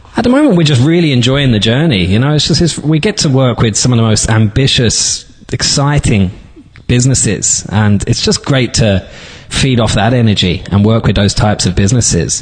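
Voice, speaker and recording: Over noticeable background noise, a man of medium pitch speaks with lively intonation and very even loudness. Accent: London. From London, England. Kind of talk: interview.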